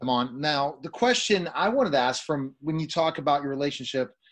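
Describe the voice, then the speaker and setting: A man with a plain, everyday voice at a moderate pace. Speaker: talk show host. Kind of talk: interview. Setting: remote call. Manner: excitable.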